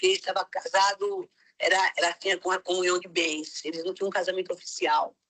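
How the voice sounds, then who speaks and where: A woman at a fairly quick pace in a flat monotone, the sound dry and close with no echo. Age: 60s. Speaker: missionary. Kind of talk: testimony.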